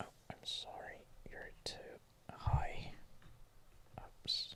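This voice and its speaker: A man is whispering. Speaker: university student, ASMR creator. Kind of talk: casual talk to camera, study-along narration. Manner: quiet, soft-spoken, whispery.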